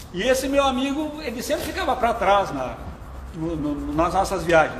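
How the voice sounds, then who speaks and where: The speaker's pitch swings very widely at a moderate pace. Audible room echo and noticeable background noise are present. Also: man. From southern Brazil, Porto Alegre. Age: 60s. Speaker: veteran cyclist. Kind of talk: interview on live stream. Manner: casual, conversational.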